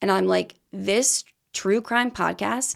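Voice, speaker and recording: A woman talks in an animated tone. The recording is very clean, with a silent background. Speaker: true crime podcaster. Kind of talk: casual interview chat. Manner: loud; talkative, animated.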